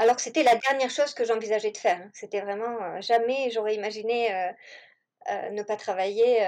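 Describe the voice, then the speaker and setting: The woman's fairly high voice moves at a moderate pace against a quiet background. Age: 40s. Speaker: home-schooling mother. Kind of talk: interview.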